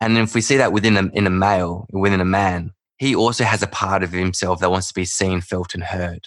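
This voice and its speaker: Over a quiet background, a man with an Australian accent talks at a moderate pace in a very deep, low voice with fairly even intonation. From Perth, Western Australia. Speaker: men's work facilitator, breathwork guide. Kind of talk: casual interview chat.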